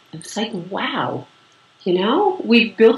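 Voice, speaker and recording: Noticeable background noise around a woman's moderate pace. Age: 60s. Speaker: yoga teacher and writer. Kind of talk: interview. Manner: halting.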